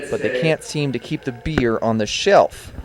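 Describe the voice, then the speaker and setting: With noticeable background noise, a man talks at a moderate pace and ordinary pitch variation. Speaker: student news reporter. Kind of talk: TV news report voiceover.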